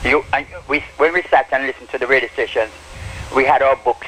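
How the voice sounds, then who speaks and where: Over noticeable background noise, a man talks at a fairly quick pace with monotone, flat intonation. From Jamaica, Morant Bay, St. Thomas. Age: 70s. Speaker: sound system operator. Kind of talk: interview. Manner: halting, repeats words.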